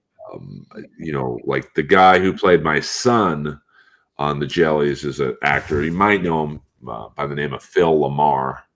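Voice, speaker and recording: In a very deep, low voice, a man talks at a fairly slow pace with ordinary pitch variation and big swings in loudness. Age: 50s. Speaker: comedian and voice actor. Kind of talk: casual chat.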